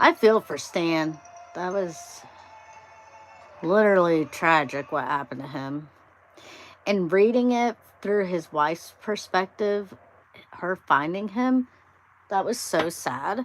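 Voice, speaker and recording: Speaking at a very slow pace with long, frequent pauses, a woman uses a medium-pitched voice and lively intonation. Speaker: livestreamer doing diamond painting. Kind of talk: casual live stream chat. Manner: trips over words.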